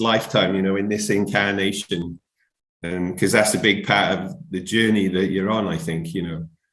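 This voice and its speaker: Speaking with a South Wales accent, a man talks at a moderate pace and fairly low pitch. Room echo is audible. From Wales, Barry near Cardiff. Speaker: musician. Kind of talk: interview. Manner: rambling, hesitant.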